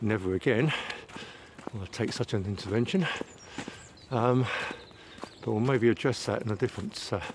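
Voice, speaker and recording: Noticeable background noise sits behind a man speaking at medium pitch and a moderate pace, with ordinary pitch variation and long, frequent pauses. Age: 60s. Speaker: vlogger. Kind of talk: casual walking vlog monologue. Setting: outdoors, walking in woods. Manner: hesitant, frequent fillers.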